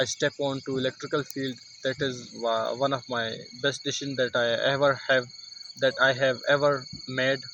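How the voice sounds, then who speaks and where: Over noticeable background noise, a man with a Pakistani accent talks at a moderate pace. His medium-pitched voice has monotone, flat intonation. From Pakistan, Mansehra. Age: 20s. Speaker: English learner vlogger. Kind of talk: casual vlog monologue. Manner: halting, many fillers and restarts.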